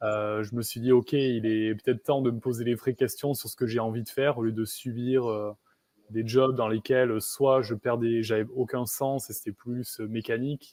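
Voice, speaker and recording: The voice has a dark, mellow tone and a monotone, flat intonation. It moves at a moderate pace in a dry, close sound with no echo. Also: man, medium pitch for a man. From southwest France, near Bayonne. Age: 30s. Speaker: coach for highly sensitive people. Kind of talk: interview. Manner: hesitant, many fillers.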